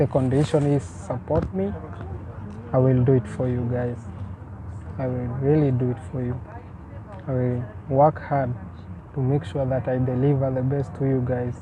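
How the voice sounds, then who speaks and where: A man speaks in a Kenyan accent with ordinary pitch variation and long, frequent pauses. Noticeable background noise sits behind him. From Kenya (village near Thika, Nairobi area). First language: Swahili. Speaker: vlogger. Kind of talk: casual vlog talk to camera.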